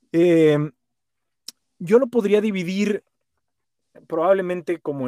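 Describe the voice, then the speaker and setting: The sound is dry and close with no echo as a man speaks very slowly in a high pitch. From Monterrey, Nuevo León, northern Mexico. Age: 40s. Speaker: voice-over announcer and sales trainer. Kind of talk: casual interview chat.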